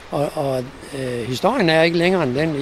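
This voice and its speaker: Amid noticeable background noise, a man speaks at a moderate pace, his pitch varying in an ordinary way. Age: 70s. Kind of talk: guided walk interview. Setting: outdoors.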